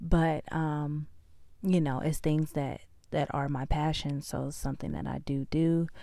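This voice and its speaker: On a very clean recording with a silent background, a woman with an American accent speaks fairly slowly in a very deep, low voice with a dark, mellow tone and monotone, flat intonation. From California. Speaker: podcast host. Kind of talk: personal diary-style monologue. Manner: hesitant, many fillers.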